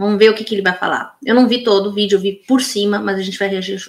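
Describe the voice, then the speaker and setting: A woman's medium-pitched voice at a very fast pace, fairly even in intonation, with big swings in loudness. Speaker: political commentator. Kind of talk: reaction video commentary. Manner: halting, with fillers.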